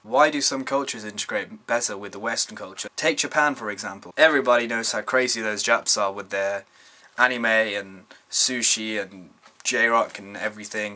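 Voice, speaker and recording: Here is a man with a medium-pitched voice. He speaks in a British accent. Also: ordinary pitch variation, moderate pace, big swings in loudness. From UK (British Indian). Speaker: vlogger. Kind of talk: casual vlog monologue. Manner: stumbling over words at times.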